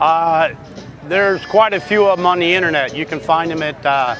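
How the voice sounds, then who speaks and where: Music plays in the background as a man talks at a moderate pace in a high pitch with ordinary pitch variation. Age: 60s. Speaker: classic car owner. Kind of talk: interview. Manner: halting.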